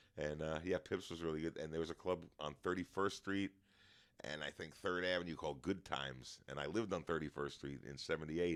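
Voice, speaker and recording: With a New York accent and vocal fry, a man talks at a fairly quick pace in a very deep, low voice with fairly even intonation. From New York, Long Island. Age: 60s. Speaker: stand-up comedian. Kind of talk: casual chat.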